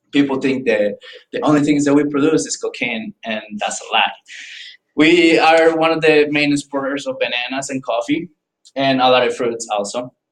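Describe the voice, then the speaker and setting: With a Paisa Colombian accent, a man speaks at a moderate pace and a fairly high pitch. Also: ordinary pitch variation. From Colombia, Paisa region (Central Andes). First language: Spanish. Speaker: student. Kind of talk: informative class speech. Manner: halting, with restarts and fillers.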